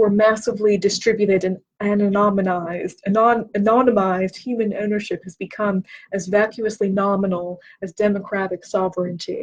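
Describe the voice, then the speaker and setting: A somewhat breathy woman at a moderate pace and medium pitch. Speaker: booktube host. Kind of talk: reading aloud. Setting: livestream. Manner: halting, stumbles over words.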